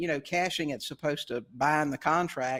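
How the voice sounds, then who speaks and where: On a very clean recording with a silent background, a man speaks in a normal speaking voice at a fairly high pitch, with ordinary pitch variation and a moderate pace. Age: 60s. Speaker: real estate investor. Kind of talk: interview.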